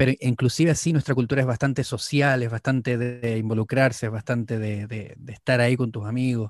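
A man's medium-pitched voice with a Chilean accent, very fast and fairly even in intonation, in a dry, close recording with no echo. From northern Chile, Antofagasta. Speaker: mate specialist and YouTuber. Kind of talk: casual interview.

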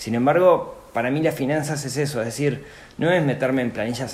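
Here a man speaks at a fairly quick pace with lively intonation. Room echo can be heard. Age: 40s. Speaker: personal finance podcaster and entrepreneur. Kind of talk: interview conversation.

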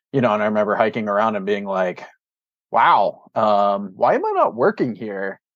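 A man with an American accent and a normal speaking voice talks at a moderate pace, his fairly low pitch held to a fairly even intonation. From Pittsburgh, Pennsylvania. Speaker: stream restoration scientist. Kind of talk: casual interview.

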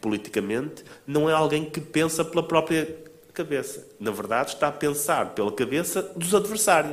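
A man speaks with a European Portuguese accent. His pitch is fairly high. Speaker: author and think-tank founder. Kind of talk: book presentation talk. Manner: halting, frequent repetitions and fillers.

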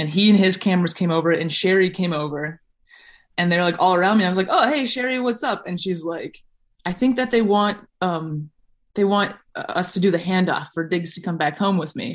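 A woman speaks at a fairly quick pace with a medium pitch and ordinary pitch variation. It's an unremarkable speaking voice against a quiet background. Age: 20s. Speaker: long-distance hiker. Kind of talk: casual chat.

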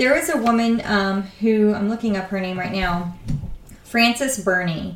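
Noticeable background noise sits behind a woman with a medium pitch and ordinary pitch variation. She speaks at a fairly slow pace. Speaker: podcast host and author. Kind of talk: casual chat.

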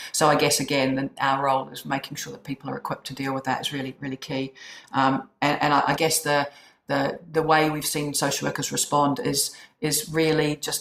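Amid noticeable background noise, a woman with a very deep, low pitch talks at a fairly quick pace with fairly even intonation. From New Zealand. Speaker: chief executive of a social work charity. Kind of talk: casual interview. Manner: hesitant, fillers.

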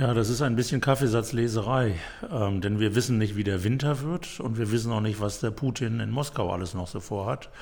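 Audible room echo around a man talking at a fairly quick pace. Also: medium pitch for a man, ordinary pitch variation. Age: 60s. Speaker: city mayor. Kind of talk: interview.

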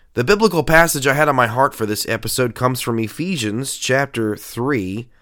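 A man talks at medium pitch and a moderate pace. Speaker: pastor and podcast host. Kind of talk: sermon-like podcast monologue.

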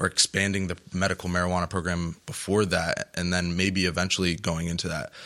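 Very deep and low, a man's voice moves at a fairly quick pace in flat, monotone intonation over a very clean recording with a silent background. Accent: American. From New Jersey. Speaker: college club president. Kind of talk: roundtable discussion. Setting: studio.

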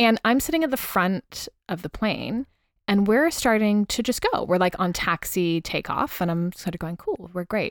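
With an American accent, a woman speaks at a moderate pace and medium pitch in a plain, everyday voice. Her intonation is lively, and the sound is dry and close with no echo. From California. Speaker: podcast host, stripper. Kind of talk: casual chat.

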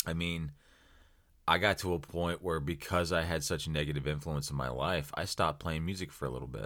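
Fairly quick speech in an American accent, with vocal fry and fairly even intonation, on a very clean recording with a silent background. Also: man, very deep, low pitch for a man. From US Midwest (small-town Ohio). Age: 30s. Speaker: podcast host. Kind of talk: solo motivational podcast talk. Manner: casual, conversational.

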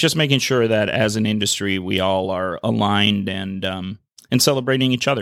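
With a normal speaking voice, a man talks at a fairly quick pace in a fairly low pitch. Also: ordinary pitch variation. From Minnesota, Saint Paul. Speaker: craft brewing trade association director. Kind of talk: interview.

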